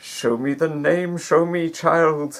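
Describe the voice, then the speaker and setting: A man puts on a high-pitched character voice. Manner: increasingly desperate, pleading.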